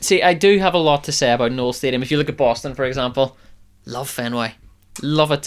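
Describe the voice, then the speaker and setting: A man with a plain, everyday voice talks at a fairly quick pace, his fairly high pitch rising and falling in an ordinary way. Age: 20s. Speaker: sports podcast host. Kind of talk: casual chat.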